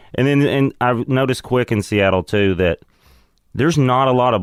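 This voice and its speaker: A man with a Southern US accent, medium pitch and lively intonation, dry and close with no echo, on a very clean recording with a silent background. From US South. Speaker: comedian. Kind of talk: casual chat.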